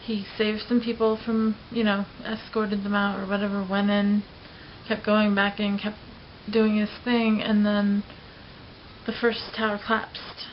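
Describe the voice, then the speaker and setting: Against noticeable background noise, a woman speaks at a fairly high pitch and a fairly slow pace with monotone, flat intonation. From Los Angeles. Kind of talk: personal vlog talk to camera.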